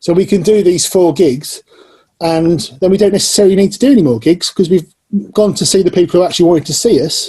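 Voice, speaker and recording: At a very fast pace, a man with an English Midlands accent talks in a high pitch with a dark, mellow tone and ordinary pitch variation. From Northamptonshire, England. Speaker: musician and channel host. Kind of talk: casual chat.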